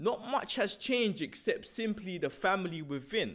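A man's high-pitched, passionate voice at a fairly slow pace. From South London. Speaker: spoken word artist. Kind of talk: spoken word poem performance, rhythmic rhyming verse. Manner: rhythmic, lyrical, punchy delivery; expressive, passionate.

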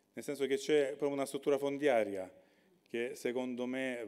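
A man with a Salentine accent speaks in a dark, mellow tone. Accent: Salentine (Lecce) Italian. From Salento, Lecce area. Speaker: regional government official. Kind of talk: conference talk.

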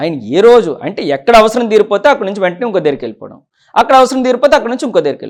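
Using lively intonation and big swings in loudness, a man talks at a high pitch. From Pendurthi area, Visakhapatnam, Andhra Pradesh. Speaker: politician, sitting legislator. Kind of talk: interview.

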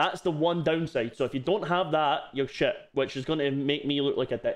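A man with a Scottish accent talks at a moderate pace and a fairly high pitch. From Scotland. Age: 20s. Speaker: streamer.

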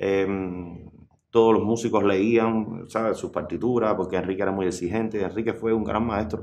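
At a moderate pace, a man with a Cuban accent speaks in a fairly low pitch with monotone, flat intonation. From Cuba, rural Sancti Spíritus near Trinidad. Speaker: musician. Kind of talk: interview. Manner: halting.

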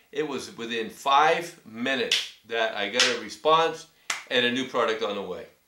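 Over a quiet background with audible room echo, a man speaks at a fairly slow pace in a bright, sharp tone. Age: 60s. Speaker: cycling YouTuber reviewing gear; customer reviewing products. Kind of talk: casual product review vlog. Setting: filming himself on camera. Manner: hesitant, many fillers. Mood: pleased, appreciative. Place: home room. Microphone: webcam.

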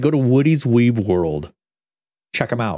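A man's voice has a dark, mellow tone with very wide pitch swings. Behind him the background is quiet. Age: 30s. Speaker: gaming streamer. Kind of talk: casual chat. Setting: home studio.

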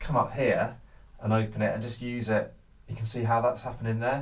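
With audible room echo, a man talks at a moderate pace and medium pitch.

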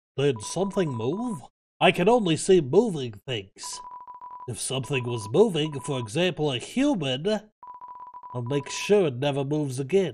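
A man's put-on character voice, fairly high in pitch, at a moderate pace with sound effects in the background. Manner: suspicious, then flustered.

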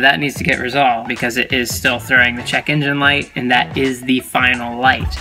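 A man talks at a very fast pace. Faint music plays in the background. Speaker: car project vlogger. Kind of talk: casual vlog chat. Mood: slightly puzzled, upbeat. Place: car. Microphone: phone near.

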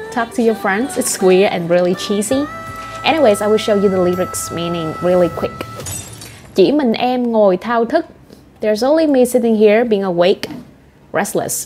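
With music in the background, a woman in a Vietnamese accent speaks at a moderate pace with lively intonation and long, frequent pauses. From Southern Vietnam. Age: 20s. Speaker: language teacher. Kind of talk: language lesson talk to camera. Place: home room.

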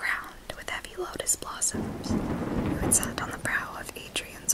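A woman speaks. She is whispering. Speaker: booktuber, literature student. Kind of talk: ASMR book reading. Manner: whispered, soft-spoken. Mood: gentle, intimate.

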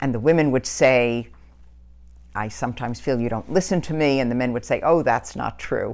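Speaking at a fairly quick pace, a woman with an American accent has a very deep, low pitch and vocal fry. Her pitch variation is ordinary. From New York (Brooklyn, Long Island); New York. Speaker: community organizer and political activist; interviewee. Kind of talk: oral history interview. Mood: earnest, reflective. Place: home room.

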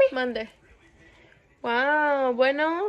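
A woman's voice at a high pitch. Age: 20s. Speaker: vlogger. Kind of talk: casual talk to camera. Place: home room. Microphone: phone near.

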